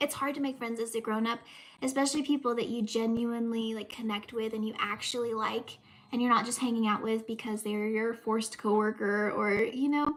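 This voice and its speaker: With a Southern US accent, a woman talks at a fairly quick pace and fairly high pitch, her intonation fairly even over noticeable background noise. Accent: Southern US, says y'all. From US South, Southeast Texas. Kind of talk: casual livestream chat. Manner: chatty, filler-heavy.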